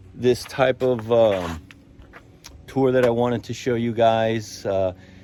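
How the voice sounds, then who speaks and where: With lively intonation and a medium pitch, a man speaks at a very slow pace. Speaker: real estate agent. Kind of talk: walkthrough tour video. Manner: casual with fillers.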